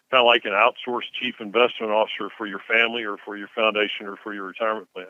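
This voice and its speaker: A man with a Southern US accent, medium pitch and a very fast pace. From Mississippi (Tupelo). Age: 60s. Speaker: investment firm CEO. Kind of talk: interview. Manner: hesitant, many fillers.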